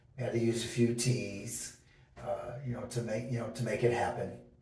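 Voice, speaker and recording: At a moderate pace, a man speaks amid noticeable background noise and audible room echo. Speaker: DIY home renovator. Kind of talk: tutorial. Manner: halting, many fillers; casual.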